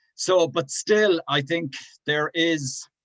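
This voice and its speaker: With a Cork accent, a man speaks in very wide pitch swings, the sound dry and close with no echo. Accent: Irish (Cork). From Ireland (Cork). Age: 60s. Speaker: LGBT activist and helpline volunteer. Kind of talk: interview.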